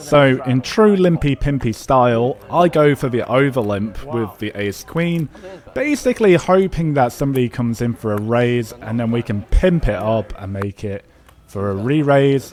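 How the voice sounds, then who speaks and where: A man with an English accent speaks at medium pitch and a moderate pace, his intonation lively. Noticeable background noise runs behind him. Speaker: poker vlogger. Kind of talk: voiceover commentary. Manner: casual.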